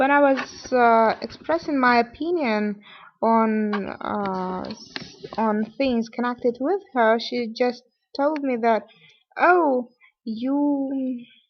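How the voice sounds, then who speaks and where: A woman's high-pitched voice with a non-native accent, ordinary pitch variation and a very slow pace. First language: not English. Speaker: vlogger. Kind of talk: personal vlog monologue. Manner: halting, many fillers.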